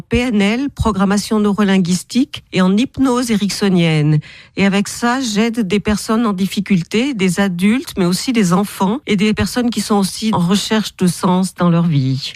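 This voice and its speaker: On a very clean recording with a silent background, a woman with a normal speaking voice talks at medium pitch with ordinary pitch variation and hardly any pauses. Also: very even loudness. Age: 60s. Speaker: author and therapist. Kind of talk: radio interview.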